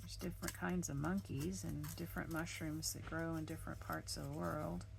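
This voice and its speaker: With audible room echo behind her, a woman talks fairly quickly in a very deep, low voice that makes very wide pitch swings. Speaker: crafting video creator. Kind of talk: craft tutorial.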